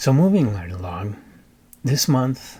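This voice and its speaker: The man's voice is somewhat breathy. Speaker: book reviewer, YouTuber. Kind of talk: casual monologue. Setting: home recording.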